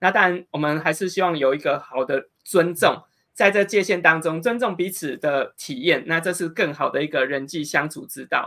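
Against a quiet background, a man speaks at a moderate pace with hardly any pauses. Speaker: interviewer. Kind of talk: interview. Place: home room.

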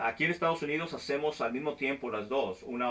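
The man talks at a very fast pace. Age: 40s. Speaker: flight instructor and video host; flight instructor, video host. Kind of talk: casual interview. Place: office.

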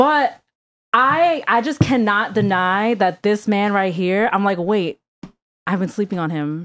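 A woman talks at a fairly slow pace in an animated tone. Her intonation is lively. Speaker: podcast co-host. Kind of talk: casual chat. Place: studio. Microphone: studio mic.

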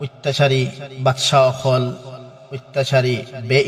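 Medium-pitched male voice with a Sylheti accent, against noticeable background noise. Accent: Sylheti Bengali. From Sylhet region, Bangladesh-India border. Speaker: Islamic preacher. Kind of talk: religious talk.

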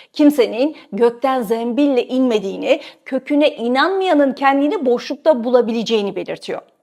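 A woman speaks at a moderate pace in a high pitch, with ordinary pitch variation and hardly any pauses. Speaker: journalist and video host. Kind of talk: scripted narration.

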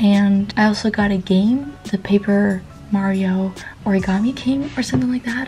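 A soft-spoken woman with ordinary pitch variation, over light background noise. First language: not English. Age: young. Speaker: vlogger. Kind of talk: casual vlog talk to camera. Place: home room. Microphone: phone near.

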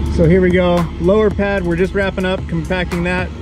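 Clear music plays behind a man talking at a moderate pace, the sound dry with no echo. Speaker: builder vlogger. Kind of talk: casual vlog chat. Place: open country. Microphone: phone near.

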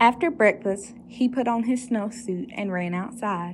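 Somewhat breathy and medium in pitch, a woman's voice moves with lively intonation. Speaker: storytime reader. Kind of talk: children's storybook reading aloud, bedtime-story style.

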